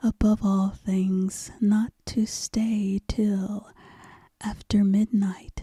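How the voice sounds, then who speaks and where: In a dry, close sound with no echo, a soft-spoken woman whispers at a very slow pace, somewhat breathy, with a soothing tone. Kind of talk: whispered ASMR bedtime story reading. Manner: whispered, soft, slow, soothing.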